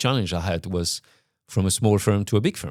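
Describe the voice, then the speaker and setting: In a very clean recording with a silent background, a man with a French accent speaks at a fairly slow pace and a fairly low pitch, with ordinary pitch variation. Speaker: company CEO talking about his leadership. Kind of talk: reflective monologue. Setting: on location in Luxembourg. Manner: halting, many repetitions and fillers.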